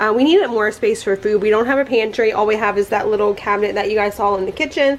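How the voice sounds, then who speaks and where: A woman with a fairly high pitch speaks in a fairly even intonation against noticeable background noise. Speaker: lifestyle vlogger. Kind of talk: casual vlog narration. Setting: at home. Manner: casual, filler-heavy; quiet, hushed.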